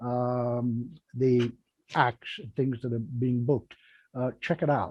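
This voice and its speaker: Over a quiet background, a man with a medium pitch sounds somewhat breathy, with a dark, mellow tone. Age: 70s. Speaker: magic show host, magicians' association president. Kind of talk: casual chat on a live online show. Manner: halting, many fillers and repetitions.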